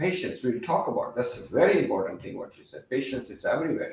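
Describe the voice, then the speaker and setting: A man speaks with a non-native accent. Audible room echo surrounds his voice. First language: not English. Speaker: teacher / youth workshop leader. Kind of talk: interactive talk to children. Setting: training facility, live-streamed. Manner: halting, with fillers.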